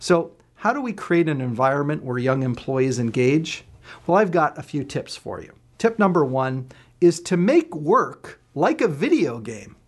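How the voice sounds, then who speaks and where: In an ordinary speaking voice, a man talks at a moderate pace and fairly high pitch, his intonation lively and his loudness swinging widely. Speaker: leadership trainer. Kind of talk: tutorial.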